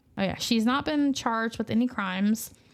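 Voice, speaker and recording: Fairly high in pitch, a woman with a Southern US accent talks fairly quickly with ordinary pitch variation. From US South. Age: parent. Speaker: true crime podcast host. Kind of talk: casual chat.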